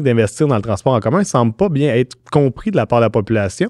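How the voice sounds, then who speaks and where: A man talks at a very fast pace with lively intonation, his voice dry with no echo against a quiet background. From Quebec. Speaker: podcast host, communications director; podcast host. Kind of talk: podcast interview. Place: studio. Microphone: studio mic.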